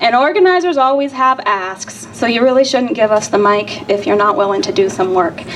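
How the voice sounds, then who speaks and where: A woman's high-pitched voice with lively intonation over noticeable background noise. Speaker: rally organizer. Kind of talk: rally speech. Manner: soft-spoken.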